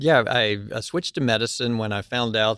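A man speaks at a moderate pace in a bright, sharp tone with fairly even intonation, recorded very cleanly against a silent background. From US South, Statesville, North Carolina. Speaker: astronaut and physician. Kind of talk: interview. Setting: studio.

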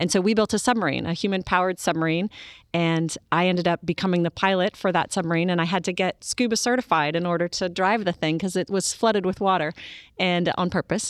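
A woman's fairly low voice with an American accent, very fast pace, fairly even intonation and very even loudness, in a dry, close sound with no echo. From US, military family moving often. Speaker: astronaut. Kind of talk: interview.

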